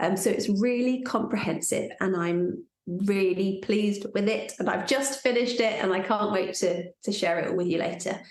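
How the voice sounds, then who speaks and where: Audible room echo surrounds a woman speaking at a moderate pace with hardly any pauses. Her loudness is very even, and her pitch varies in an ordinary way. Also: medium pitch for a woman. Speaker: pelvic floor fitness teacher. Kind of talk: live workshop talk.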